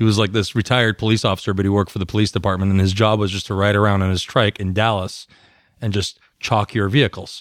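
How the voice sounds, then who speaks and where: The voice carries a West Coast accent in a flat monotone. The sound is dry and close, with no echo. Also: man, very clean recording, silent background. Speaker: motorcycle podcast co-host. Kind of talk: casual chat.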